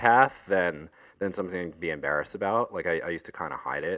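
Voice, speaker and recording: Against a quiet background, a man speaks at a fairly quick pace in a very deep, low pitch with a bright, sharp tone. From Long Island, New York. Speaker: DJ and music producer. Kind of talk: casual chat.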